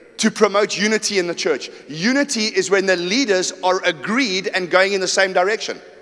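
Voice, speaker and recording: Over noticeable background noise, a man with a high-pitched voice speaks in an animated tone. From South Africa, KwaZulu-Natal and Johannesburg. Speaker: pastor. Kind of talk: sermon.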